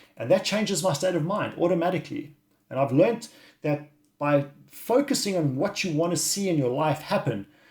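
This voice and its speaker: A high male voice with lively intonation. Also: very clean recording, silent background. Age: 50s. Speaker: wellness coach. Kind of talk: video monologue. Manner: halting.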